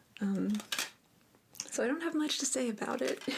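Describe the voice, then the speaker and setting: A soft-spoken woman talks at a fairly high pitch. There is noticeable background noise. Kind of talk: ASMR soft-spoken show and tell.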